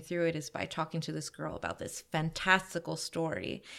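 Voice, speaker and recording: In a very clean recording with a silent background, a woman with an American accent uses a plain, everyday voice at a fairly low pitch and a moderate pace. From New York, Queens. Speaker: costume designer. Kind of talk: casual chat.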